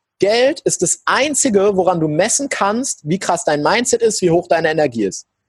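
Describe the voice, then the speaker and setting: His sound dry and close with no echo, a man speaks at a moderate pace with hardly any pauses, his high pitch moving in very wide swings while his loudness stays very even. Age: young. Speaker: entrepreneur. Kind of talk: interview.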